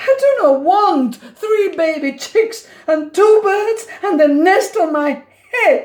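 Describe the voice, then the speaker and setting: The delivery creeps along at a very slow pace. It is a put-on character voice. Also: woman, extremely high pitch for a woman. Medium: read story. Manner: worried, fretful.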